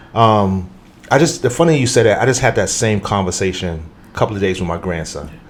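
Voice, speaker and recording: Lively intonation drives very fast speech over noticeable background noise. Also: man, fairly low pitch for a man. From New York, Harlem. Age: 50s. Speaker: youth program developer and entrepreneur. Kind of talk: podcast interview conversation.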